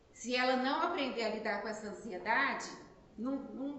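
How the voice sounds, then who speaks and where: A woman speaks with a high pitch in an animated tone. Audible room echo and noticeable background noise fill the recording. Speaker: spiritist lecturer. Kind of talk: lecture. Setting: spiritist center, live audience, no microphone. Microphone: no microphone, filmed.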